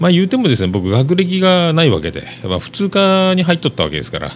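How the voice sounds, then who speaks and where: Very wide pitch swings at a fairly quick pace, over noticeable background noise. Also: man. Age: 40s. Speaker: podcast host. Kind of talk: casual monologue. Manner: hesitant with many fillers.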